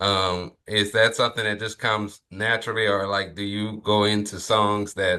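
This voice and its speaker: A man with a Louisiana accent speaks at a moderate pace in a fairly low, flat monotone, barely pausing at all. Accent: Southern US (Louisiana). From Lafayette, Louisiana. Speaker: podcast host. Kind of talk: podcast interview.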